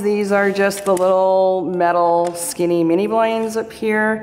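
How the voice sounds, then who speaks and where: The speech moves at a fairly slow pace. Pitch variation is ordinary. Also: woman. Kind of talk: property tour narration. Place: home room. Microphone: phone near.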